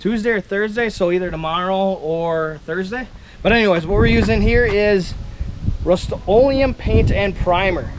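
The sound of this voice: Over faint background noise, a man speaks at a moderate pace with a high pitch and ordinary pitch variation.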